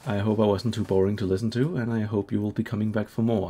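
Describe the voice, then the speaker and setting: A man with a Danish accent speaks at a fairly low pitch in a dark, mellow tone. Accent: Danish accent, trying for British English. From Denmark. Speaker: gaming video creator. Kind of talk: let's play commentary. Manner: hesitant, many fillers.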